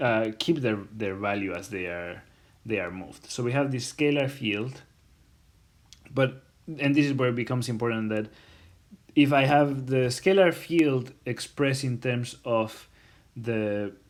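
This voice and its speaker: A man talks at a fairly slow pace in a medium pitch. His pitch variation is ordinary. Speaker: university lecturer. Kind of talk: recorded lecture. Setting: self-recorded lecture video. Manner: halting, many fillers.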